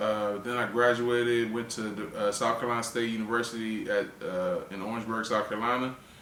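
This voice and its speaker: Someone speaks fairly quickly in a monotone, flat intonation, with noticeable background noise and audible room echo. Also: man, medium pitch for a man, hardly any pauses. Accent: American. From Washington DC area. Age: 30s. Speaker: comedian. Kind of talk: interview. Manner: halting.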